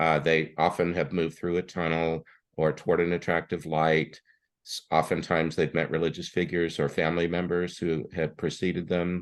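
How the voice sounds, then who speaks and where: A man's very deep, low voice in monotone, flat intonation. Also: moderate pace, quiet background. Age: 60s. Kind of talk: interview. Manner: halting.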